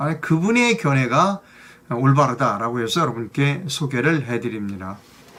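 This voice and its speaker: Very wide pitch swings mark this man's speech, pitched fairly high. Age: old. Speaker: news commentary host. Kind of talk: news commentary monologue. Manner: hesitant, many fillers.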